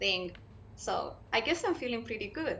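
Light background noise sits behind a woman whose tone is bright and sharp, with a Spanish accent. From Chile. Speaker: graduate scholar and education researcher. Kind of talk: panel discussion. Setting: video call. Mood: cheerful, smiling. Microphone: video call.

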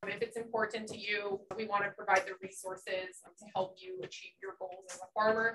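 A woman with an American accent speaks at a moderate pace in monotone, flat intonation, with big swings in loudness and noticeable background noise. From New Jersey. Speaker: farm bureau chapter president. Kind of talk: presentation. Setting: stage with audience. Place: meeting room. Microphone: camera far.

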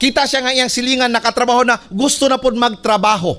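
A man's animated voice with a bright, sharp tone. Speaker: pastor. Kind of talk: sermon. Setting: church. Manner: animated, exhortative preaching with call-and-response ("Can you say amen?"); switches between Cebuano and English. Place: church. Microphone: podium.

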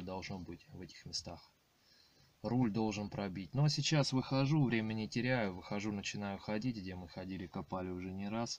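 Recorded dry with no echo and light background noise, a man with a fairly low voice talks at a moderate pace with ordinary pitch variation. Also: big swings in loudness. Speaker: metal detecting hobbyist vlogger. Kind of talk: casual vlog chat. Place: car. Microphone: phone near.

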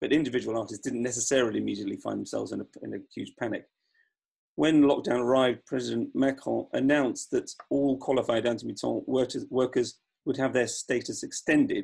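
A man talks fairly quickly. Behind him the background is quiet. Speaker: opera director. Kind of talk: panel talk. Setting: video call. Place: home room. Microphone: video call.

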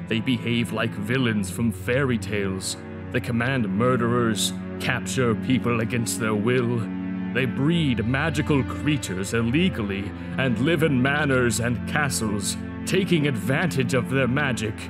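Over loud background music, a man with a medium-pitched voice does a put-on character voice at a moderate pace. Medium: fan dub. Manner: grandfatherly, solemn, earnest.

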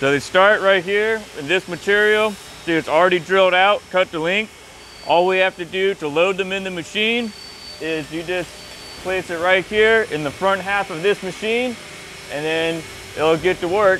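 A man's raised, projected voice moves at a moderate pace with fairly even intonation. There is light background noise. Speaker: machinist at the factory. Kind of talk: explanation on a factory tour. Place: factory.

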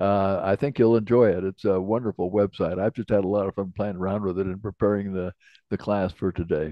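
A man talks at a fairly quick pace in an unremarkable speaking voice. The background is quiet and the sound is dry with no echo. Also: fairly low pitch for a man, fairly even intonation. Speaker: class instructor. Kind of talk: lecture. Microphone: video call.

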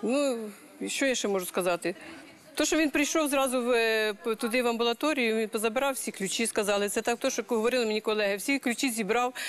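A woman with a Ukrainian accent at a fairly high pitch and a fairly quick pace, her pitch varying in an ordinary way and her loudness very even, over crowd noise in the background. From Ukraine. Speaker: bereaved mother; talk show guest, witness. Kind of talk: interview answer. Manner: emotional, pleading. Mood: serious, recounting events. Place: studio. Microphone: lapel.

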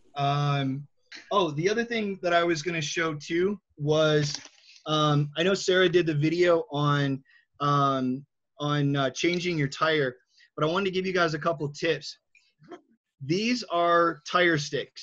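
Using a plain, everyday voice, a man with an American accent talks at a fairly slow pace with a fairly high pitch and fairly even intonation. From Michigan. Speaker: wheelchair skills instructor. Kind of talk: tutorial.

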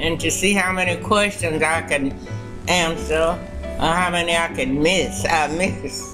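A woman's fairly low voice with lively intonation, clear music in the background. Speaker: retired schoolteacher. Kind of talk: interview answer. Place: hall.

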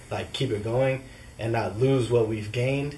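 Audible room echo surrounds a man with an American accent who talks at a moderate pace. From Santa Cruz, California. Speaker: reggae band member. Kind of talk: casual interview.

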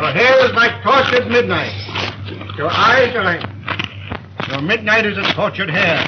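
The man speaks at a moderate pace with ordinary pitch variation. Noticeable background noise runs underneath. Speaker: comic suitor in a film. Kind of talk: acted comic film dialogue. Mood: flustered romantic, comic. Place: cafe. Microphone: old recording.

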